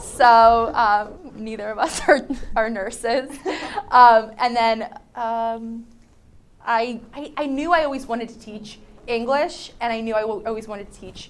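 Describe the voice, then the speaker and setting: A woman with an American accent talks at a fairly slow pace and a fairly high pitch, keeping fairly even intonation while her loudness swings widely. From New Jersey, Vineland. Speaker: high school English teacher. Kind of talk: casual interview. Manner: casual, many fillers.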